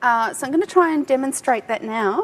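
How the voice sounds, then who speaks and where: With an Australian accent, a woman speaks in a high pitch and lively intonation. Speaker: tech industry speaker. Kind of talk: conference talk. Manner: animated.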